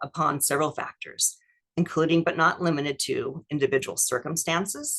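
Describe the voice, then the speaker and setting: Speaking at a fairly quick pace, a woman uses a fairly low pitch. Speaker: estate planning attorney. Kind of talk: webinar presentation and Q&A. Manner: fast.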